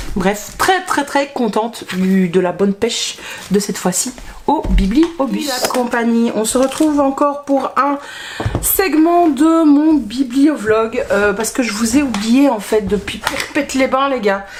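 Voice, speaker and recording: The speaker talks at a very slow pace with lively intonation. Noticeable background noise runs underneath. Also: woman, high pitch for a woman. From Belgium. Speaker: book vlogger. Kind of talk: casual vlog chat. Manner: hesitant, many fillers.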